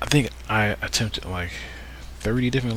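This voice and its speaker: A man's voice with very wide pitch swings against noticeable background noise. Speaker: gaming video creator. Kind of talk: casual let's play commentary. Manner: halting, repetitive.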